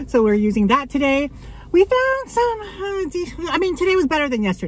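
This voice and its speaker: Pitch swings very widely in this dry, echo-free recording with light background noise. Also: woman. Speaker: thrift haul vlogger. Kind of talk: casual vlog chat. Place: car. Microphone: phone near.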